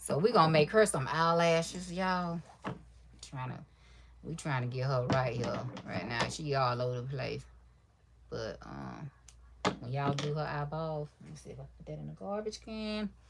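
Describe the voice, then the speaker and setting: A soft-spoken woman with big swings in loudness and long, frequent pauses. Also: moderate pace. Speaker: crafter livestreamer. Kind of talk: casual livestream chat while crafting. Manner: quiet, soft-spoken; relaxed, rambling.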